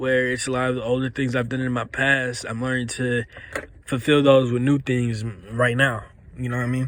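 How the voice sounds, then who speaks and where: A man at medium pitch in a monotone, flat intonation, at a moderate pace, with noticeable background noise. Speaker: commentary video creator. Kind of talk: casual unscripted monologue. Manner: halting, stuttering; casual slangy speech.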